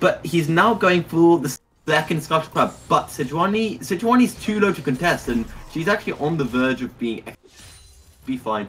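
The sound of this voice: This man's voice has a fairly bright tone with a slightly husky edge, a fairly high pitch and lively intonation. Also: moderate pace.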